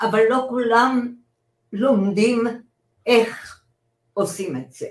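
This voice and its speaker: Speaking at a very slow pace, a woman uses a fairly high voice. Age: 80s+. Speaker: retired journalist and lawyer. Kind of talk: interview, personal story. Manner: animated, laughs often.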